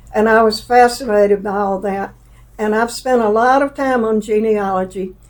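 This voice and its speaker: A woman with a Southern accent speaks with fairly even intonation. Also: fairly high pitch for a woman, moderate pace. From US South, Alabama, Jefferson County. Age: 80s+. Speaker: interviewee, mother of the host. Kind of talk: personal interview, life story.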